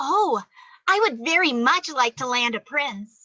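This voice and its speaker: A woman puts on a character voice, high-pitched and delivered at a fairly slow pace. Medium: audio drama. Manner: imperious.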